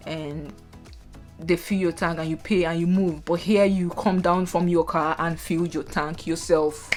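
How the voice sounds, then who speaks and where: With music playing behind her, a woman speaks in a Nigerian accent with flat, monotone intonation. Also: fairly low pitch for a woman, fairly slow pace. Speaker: nurse. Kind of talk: casual talk to camera.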